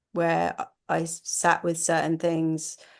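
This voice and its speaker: Over a quiet background, a woman with a fairly low pitch speaks in a monotone, flat intonation. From Oxfordshire, southern England. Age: 40s. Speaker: actress. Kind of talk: podcast interview, personal testimony. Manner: halting, many repetitions and false starts.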